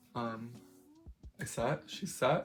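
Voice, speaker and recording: A woman talks very slowly while noticeable background noise plays behind her. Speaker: makeup vlogger. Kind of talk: casual makeup vlog. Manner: rambling, conversational with many fillers.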